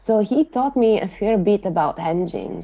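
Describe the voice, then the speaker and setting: A woman with an Italian accent, medium pitch and ordinary pitch variation, at a moderate pace. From Italy, Sardinia. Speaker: motorsport aerodynamicist. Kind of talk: interview.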